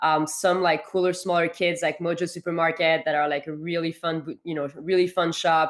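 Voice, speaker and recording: A woman with a French accent speaks at a fairly low pitch. Her intonation is monotone and flat, with hardly any pauses. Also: moderate pace. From France, Paris. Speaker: founder and CEO of an internship program. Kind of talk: interview. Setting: remote call.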